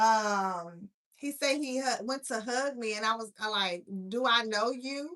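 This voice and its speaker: A woman speaks at a fairly slow pace, her fairly high pitch carrying a bright, sharp tone. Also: ordinary pitch variation. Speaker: blind content creator. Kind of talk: live stream monologue. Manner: soft-spoken. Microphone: too quiet.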